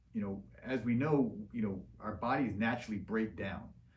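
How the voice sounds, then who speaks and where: A man with a fairly low voice speaks in a room with audible echo. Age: 40s. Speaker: liposuction surgeon hosting live Q&A. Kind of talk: livestream Q&A. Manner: casual, filler-heavy.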